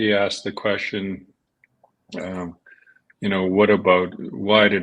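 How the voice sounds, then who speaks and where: A man speaks at a moderate pace in a fairly low pitch, his intonation monotone and flat, with a quiet background. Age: 60s. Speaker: podcast co-host, business owner. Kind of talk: podcast discussion. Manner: halting.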